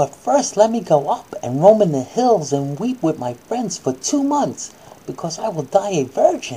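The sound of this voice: A woman speaks at a moderate pace in a fairly low pitch, her dark, mellow tone carrying a husky, rough edge as her pitch swings widely.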